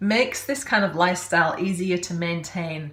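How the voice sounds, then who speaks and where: In an English accent, a woman speaks at a fairly slow pace and medium pitch with fairly even intonation. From England. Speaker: podcast host, health coach. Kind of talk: podcast intro and interview.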